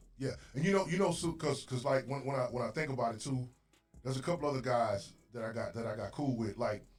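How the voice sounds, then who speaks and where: Speaking at a very fast pace, a man uses a medium pitch, ordinary pitch variation and a somewhat breathy sound. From Mississippi. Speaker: podcast host. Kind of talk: casual chat. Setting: studio. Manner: animated.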